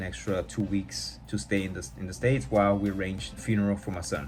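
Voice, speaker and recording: Over background music and audible room echo, a man with an American accent speaks very fast in a fairly low pitch. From California, US. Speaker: podcast host. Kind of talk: personal testimony. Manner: casual.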